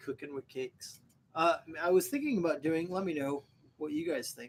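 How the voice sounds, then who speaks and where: A man with an American accent at a moderate pace. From Ohio. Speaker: homesteading beer-review YouTuber. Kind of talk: casual live-stream chat. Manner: casual, halting.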